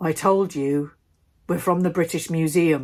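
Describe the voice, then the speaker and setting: Using a put-on character voice, a woman speaks at a fairly low pitch. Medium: read story. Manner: curt, menacing.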